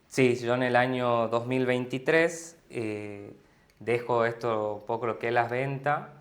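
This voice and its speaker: A man with a medium pitch talks very slowly, his intonation fairly even. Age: 20s. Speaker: business partner at a family internet company. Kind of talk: interview answer.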